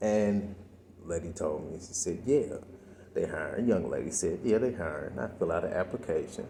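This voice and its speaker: The man's voice carries audible room echo. He talks at a moderate pace. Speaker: vlogger. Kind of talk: personal vlog monologue. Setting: library. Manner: quiet, talking low.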